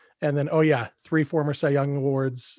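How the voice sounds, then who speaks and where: A man with a fairly high pitch speaks at a moderate pace and with fairly even intonation, in a plain, everyday voice. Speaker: podcast host. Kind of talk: casual chat.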